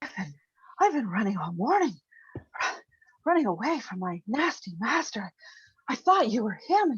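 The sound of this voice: In a put-on character voice with a fairly high pitch and very wide pitch swings, the speaker moves at a moderate pace, broken by long, frequent pauses.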